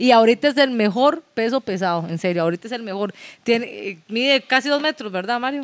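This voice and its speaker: With a plain, everyday voice, a woman talks at a fairly quick pace in a fairly high pitch and lively intonation, the sound dry and close with no echo. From Nicaragua (Managua), raised in Costa Rica. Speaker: professional boxer. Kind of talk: casual chat.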